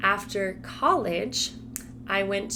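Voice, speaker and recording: A woman with an American accent, in a room with audible echo. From Colorado, US. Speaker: Spanish teacher. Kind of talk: casual vlog talk to camera.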